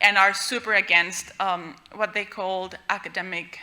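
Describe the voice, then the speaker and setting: Speaking in a Spanish accent, a woman with a medium pitch and a bright, sharp tone keeps her intonation fairly even. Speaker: researcher presenting a paper. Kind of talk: conference talk.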